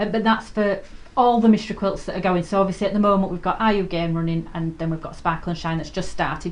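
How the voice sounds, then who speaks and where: Her intonation stays fairly even. The woman talks at a very fast pace. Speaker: quilting shop owner and video host. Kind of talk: live sewing tutorial chat. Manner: hesitant, many ums; quiet while concentrating.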